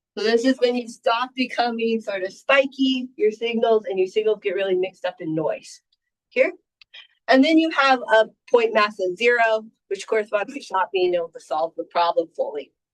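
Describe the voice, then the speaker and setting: In a dry, close recording with no echo, a woman with an ordinary speaking voice talks at a moderate pace, her fairly high pitch moving with lively intonation. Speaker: professor. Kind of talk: lecture.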